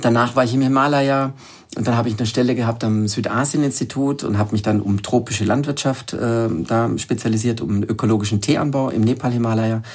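The delivery is fairly quick, in an ordinary speaking voice. Intonation stays fairly even. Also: man, medium pitch for a man. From southern Germany, Lake Constance. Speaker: wild plant expert and author. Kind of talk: interview.

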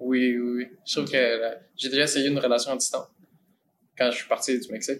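A man's very fast, monotone delivery with flat intonation. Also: medium pitch for a man. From Mexico. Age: 20s. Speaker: acting student. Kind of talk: casual chat.

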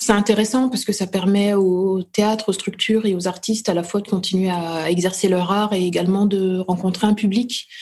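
Her medium-pitched voice is somewhat breathy and runs with hardly any pauses. This woman keeps a monotone, flat intonation. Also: moderate pace. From France, Burgundy (Dijon). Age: 30s. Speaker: playwright and actress. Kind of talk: interview. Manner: hesitant, with frequent repetitions.

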